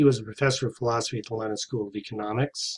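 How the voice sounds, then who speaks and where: This is a man's voice. It sounds somewhat breathy. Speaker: lecturer. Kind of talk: lecture. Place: home room. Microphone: webcam.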